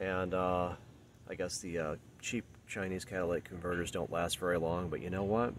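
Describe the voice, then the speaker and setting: This man has a very deep, low pitch and keeps a moderate pace. The sound is dry with no echo, with light background noise. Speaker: car owner vlogger. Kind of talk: casual vlog chat. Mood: wry, mildly frustrated. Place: street. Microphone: phone near.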